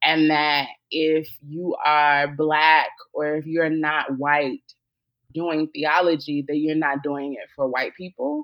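A woman's very deep, low voice, very slow and monotone with flat intonation. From US South. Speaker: theologian and podcaster. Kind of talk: interview conversation.

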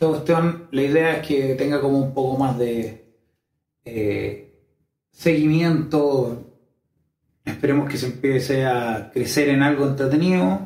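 With audible room echo, a man speaks in a somewhat breathy, fairly high-pitched voice. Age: 30s. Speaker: YouTuber sharing personal experiences. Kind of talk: personal monologue video.

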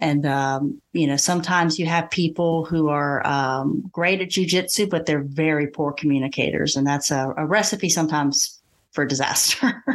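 A woman with a Southern US accent speaks at a very deep, low pitch, with ordinary pitch variation. Her loudness stays very even throughout. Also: moderate pace, quiet background. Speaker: podcast host and English teacher. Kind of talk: interview conversation.

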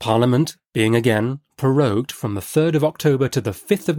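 A man speaks at a fairly quick pace in a plain, everyday voice, with ordinary pitch variation. The sound is dry and close with no echo, and the recording is very clean against a silent background. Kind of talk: audiobook reading. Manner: measured, steady narrator's pace; formal, storytelling cadence.

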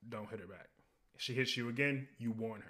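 A man with an American accent talks at a fairly quick pace in a plain, everyday voice, his intonation fairly even. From US South. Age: 20s. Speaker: podcast host. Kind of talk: casual chat.

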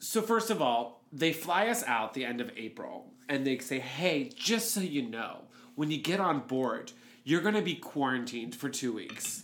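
Audible room echo surrounds a man speaking at a moderate pace in an American accent, his fairly high pitch swinging very widely. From Pittsburgh, Pennsylvania. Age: 30s. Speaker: podcast co-host. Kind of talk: casual chat.

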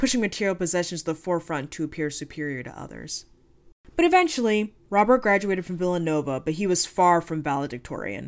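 With an ordinary speaking voice, a woman talks at a fairly quick pace, fairly low in pitch, with ordinary pitch variation. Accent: American. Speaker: true crime podcast host. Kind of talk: true-crime narration. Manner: conversational, wry, informal asides.

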